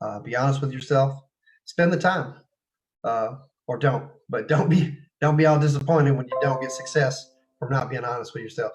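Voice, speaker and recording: With a Texas accent and fairly even intonation, a man speaks with long, frequent pauses as faint music plays in the background. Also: fairly high pitch for a man. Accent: Texas drawl. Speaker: martial arts fighter and teacher; teacher. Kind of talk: casual interview. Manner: halting, many fillers. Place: home room. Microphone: video call.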